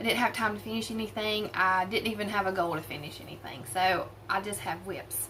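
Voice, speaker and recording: Talking fairly quickly with hardly any pauses, a woman with an American accent and medium pitch shows big swings in loudness over noticeable background noise. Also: ordinary pitch variation. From US South, southern West Virginia (Appalachia). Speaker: crafting vlogger. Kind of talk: casual chat. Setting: at home by a window.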